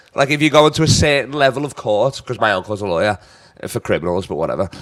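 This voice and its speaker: A man with a Liverpool accent, an animated tone and lively intonation. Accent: Scouse. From northern England, Liverpool. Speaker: comedian. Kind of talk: casual chat.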